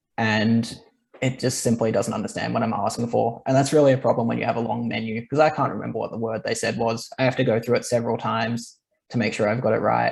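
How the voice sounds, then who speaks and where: Very fast speech in an Australian accent stays monotone with flat intonation. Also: man, medium pitch for a man. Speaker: marketing lead, webinar host. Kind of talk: business webinar discussion.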